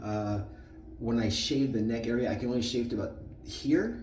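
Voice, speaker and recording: Audible room echo surrounds a man who talks fairly slowly. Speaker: shaving video creator. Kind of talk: tutorial.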